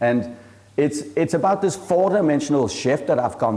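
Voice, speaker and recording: A man with a strong Danish accent and a fairly high pitch speaks at a moderate pace with lively intonation. Audible room echo surrounds his voice. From Denmark. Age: 40s. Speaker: entrepreneur and venture capitalist. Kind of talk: conference talk.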